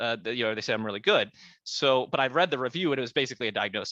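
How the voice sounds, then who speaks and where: A man at medium pitch speaks in a bright, sharp tone, with a dry, close sound and no echo, over a quiet background. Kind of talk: interview. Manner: animated; halting, repetitive stammers.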